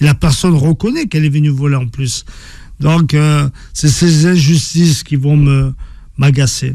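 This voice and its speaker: Somewhat breathy, with a dark, mellow tone, a man speaks at a fairly slow pace with long, frequent pauses, fairly high pitch and fairly even intonation. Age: 50s. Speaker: author and former professional boxer. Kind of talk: interview. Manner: halting, many repetitions.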